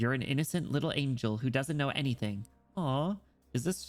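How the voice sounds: Someone reads in a natural reading voice.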